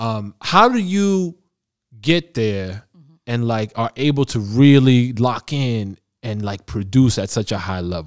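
A man talks at a fairly slow pace with lively intonation and a medium pitch, in an ordinary speaking voice. The recording is very clean, with a silent background. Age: 30s. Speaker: podcast host. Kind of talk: casual interview. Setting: recording in the Bronx.

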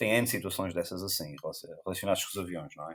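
A man talks at a very fast pace. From Azores, São Miguel (Lagoa). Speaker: photographer. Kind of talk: casual chat.

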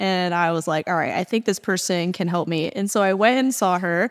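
A woman speaks in a normal speaking voice at medium pitch, with ordinary pitch variation and a moderate pace. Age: 30s. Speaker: podcast host, fitness trainer. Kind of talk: casual interview.

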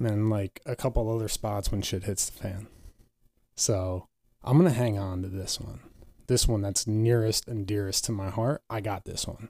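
On a very clean recording with a silent background, a man with a fairly low, dark, mellow voice speaks at a moderate pace, his loudness swinging widely. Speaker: podcast co-host. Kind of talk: casual chat. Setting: studio.

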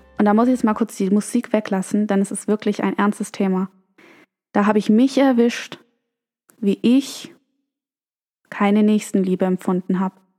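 In a very clean recording with a silent background and a dry, close sound with no echo, a woman speaks with a fairly high pitch and a dark, mellow tone. Her intonation is fairly even at a moderate pace, broken by long, frequent pauses. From Germany. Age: 20s. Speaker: podcast host. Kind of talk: storytelling monologue.

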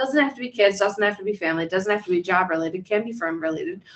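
Her pitch rises and falls in an ordinary way. The woman's voice sits at a medium pitch. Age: 30s. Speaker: licensed counselor and podcast co-host. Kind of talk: casual chat.

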